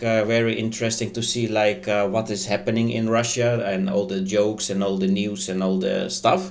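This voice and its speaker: A man talks at a moderate pace and medium pitch with lively intonation. Noticeable background noise and audible room echo surround him. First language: not English. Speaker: online news commentator. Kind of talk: casual commentary. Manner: halting, many fillers.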